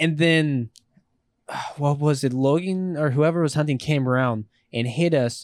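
A man with a normal speaking voice, fairly high in pitch, at a moderate pace with ordinary pitch variation, the sound dry and close with no echo on a very clean recording with a silent background. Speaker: podcast guest, scooter rider. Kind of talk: casual chat.

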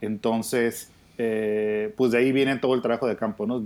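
The voice moves at a moderate pace with fairly even intonation. Its tone is dark and mellow. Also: man. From Baja California, Mexico. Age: 30s. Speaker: winemaker and winery owner. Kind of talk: casual interview.

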